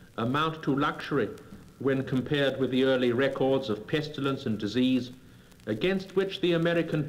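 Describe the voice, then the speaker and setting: Medium male pitch, a normal speaking voice, ordinary pitch variation and a moderate pace from a man. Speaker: statesman giving political speeches. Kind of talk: formal political oratory. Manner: measured, eloquent, rhetorical.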